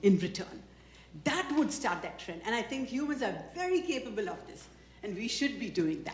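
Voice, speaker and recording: Over noticeable background noise and audible room echo, a woman talks with very wide pitch swings. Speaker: community organization leader presenting awards. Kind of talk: award ceremony speech. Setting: stage with audience. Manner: loud.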